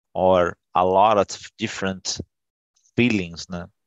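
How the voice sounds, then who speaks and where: A man's fairly low voice with a Portuguese accent and fairly even intonation. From Brazil. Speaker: English learner. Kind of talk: casual chat. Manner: halting.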